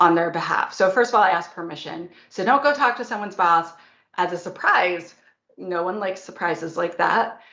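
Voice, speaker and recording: Audible room echo surrounds speech that moves at a moderate pace with ordinary pitch variation. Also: woman. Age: 40s. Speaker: security expert and author. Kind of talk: conference talk and Q&A. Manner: animated.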